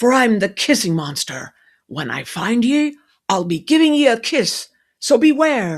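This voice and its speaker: A put-on character voice growls at a fairly high pitch with very wide pitch swings and a moderate pace, on a very clean recording with a silent background. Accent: strong Irish. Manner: growling.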